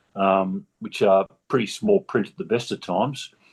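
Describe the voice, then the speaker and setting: Here a man speaks with an Australian accent. His pace is moderate and his intonation fairly even. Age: 70s. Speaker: patient with optic neuropathy. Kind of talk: personal testimony in a video discussion. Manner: halting, many fillers.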